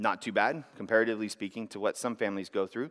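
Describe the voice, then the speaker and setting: A man talks at a very fast pace. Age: 30s. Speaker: church elder giving testimony. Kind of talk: sermon-style testimony. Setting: church service.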